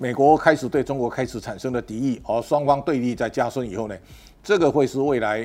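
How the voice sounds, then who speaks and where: Dark and mellow in tone, a man of medium pitch speaks at a fairly quick pace with ordinary pitch variation. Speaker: political and economic commentator. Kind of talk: solo commentary monologue. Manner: halting, with repeated words and fillers.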